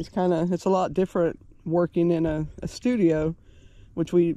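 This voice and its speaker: At a moderate pace, the speech comes through dry, without any echo. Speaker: travel vlogger. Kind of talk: casual vlog chat. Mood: relaxed, cheerful. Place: open country. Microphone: phone near.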